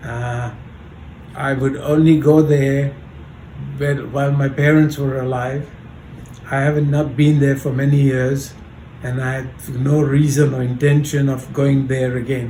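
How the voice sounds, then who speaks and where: Over noticeable background noise and audible room echo, a man with a fairly high pitch speaks in a monotone, flat intonation at a fairly slow pace with long, frequent pauses. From Kenya and India (Mombasa, schooling in India). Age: 70s. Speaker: grandfather, oral history interviewee. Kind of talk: oral history interview. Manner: halting.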